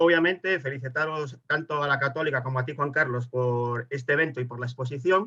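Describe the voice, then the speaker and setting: With a Spanish accent and a bright, sharp tone, a man speaks at a moderate pace. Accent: Spanish (Spain). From Spain. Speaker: webinar participant. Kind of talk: audience question in webinar.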